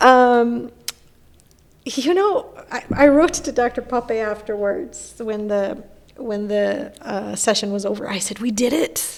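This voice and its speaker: A woman's fairly high voice in a Persian accent, very slow and with lively intonation. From Iran. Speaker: philosopher and professor. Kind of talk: podcast interview.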